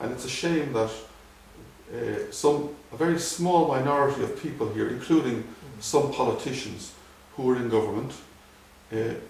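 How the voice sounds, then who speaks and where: With noticeable background noise behind him, a man at a fairly high pitch with ordinary variation talks at a moderate pace, leaving long, frequent pauses. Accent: Irish. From Dublin, Ireland. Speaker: ophthalmologist. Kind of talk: interview answer.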